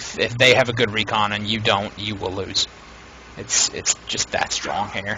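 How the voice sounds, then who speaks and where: Noticeable background noise runs behind a man. He speaks at a fairly low pitch in a monotone, flat way. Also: moderate pace. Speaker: game shoutcaster. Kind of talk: live game commentary. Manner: casual, chatty.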